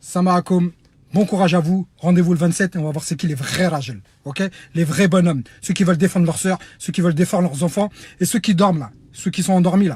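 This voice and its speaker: Loud and animated, a man with a high pitch talks at a fairly quick pace with ordinary pitch variation. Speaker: humanitarian activist. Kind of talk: online video appeal.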